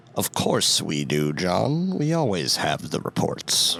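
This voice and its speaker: A man uses a put-on character voice at a fairly low pitch. His pace is fairly slow. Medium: actual play.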